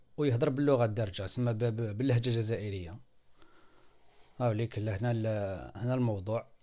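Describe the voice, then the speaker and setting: A man's dark, mellow voice at medium pitch, with ordinary pitch variation and audible room echo. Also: moderate pace. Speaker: software tutorial video maker. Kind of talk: screen-recorded tutorial. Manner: halting, many fillers.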